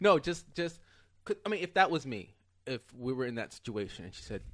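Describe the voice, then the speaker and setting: This man's pitch swings very widely. He talks at a fairly quick pace. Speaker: stand-up comedian. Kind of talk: casual chat. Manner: soft-spoken.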